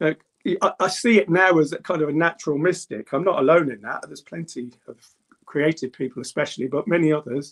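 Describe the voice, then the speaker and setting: With a Birmingham accent, a man with a fairly high pitch and vocal fry talks at a fairly quick pace with ordinary pitch variation, the sound dry and close with no echo. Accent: English Midlands (Birmingham). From England, Birmingham (Handsworth). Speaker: druid. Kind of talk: interview.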